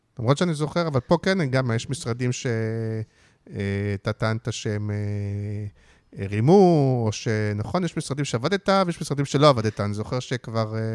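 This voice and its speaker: Recorded very cleanly against a silent background with a dry, close sound and no echo, a man at medium pitch talks at a fairly slow pace with lively intonation and hardly any pauses. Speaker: podcast host. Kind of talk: interview. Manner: halting.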